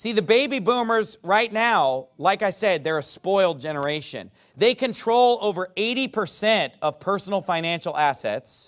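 A man's high-pitched voice at a moderate pace with lively intonation and hardly any pauses, in a very clean recording with a silent background. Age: 30s. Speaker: pastor. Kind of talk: sermon.

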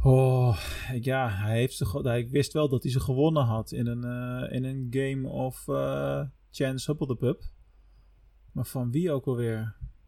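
At a fairly slow pace, a man with a medium pitch and a dark, mellow tone speaks with fairly even intonation. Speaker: podcast host. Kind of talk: casual chat.

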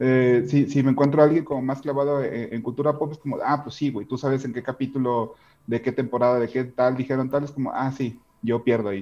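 With a Mexican accent, a man talks at a fairly quick pace and a medium pitch. His tone is dark and mellow, his intonation monotone and flat. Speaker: podcast co-host. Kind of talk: casual chat.

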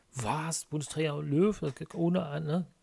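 A man's fairly high voice with a dark, mellow tone, on a very clean recording with a silent background. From Rhineland, Germany (Brühl area near Cologne). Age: 30s. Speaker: gaming podcast co-host. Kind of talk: casual chat.

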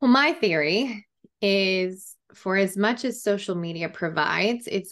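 With a quiet background behind her, a woman speaks fairly slowly in an unremarkable speaking voice with ordinary pitch variation. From Colorado, small town. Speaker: business consultant. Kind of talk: casual interview.

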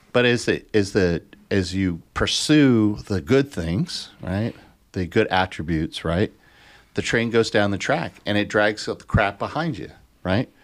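A man with an unremarkable speaking voice talks at a fairly slow pace in a fairly low pitch, his intonation lively, on a very clean recording with a silent background. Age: 60s. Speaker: behavioral health advocate and podcast co-host. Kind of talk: casual chat.

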